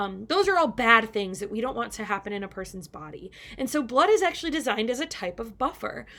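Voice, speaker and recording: In a very clean recording with a silent background, a woman speaks in a fairly high voice with lively intonation. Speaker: high school chemistry teacher. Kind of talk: recorded lecture. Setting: recording at home on a computer. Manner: fast.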